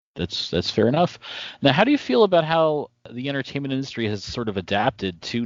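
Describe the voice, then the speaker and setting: An ordinary speaking voice, fairly quick in pace, with lively intonation. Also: man. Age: 30s. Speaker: podcast host. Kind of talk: casual interview. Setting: video call.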